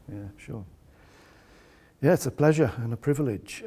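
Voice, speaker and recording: The voice has a dark, mellow tone and comes across somewhat breathy. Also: man. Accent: Welsh. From North Wales. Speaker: pastor. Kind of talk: testimony.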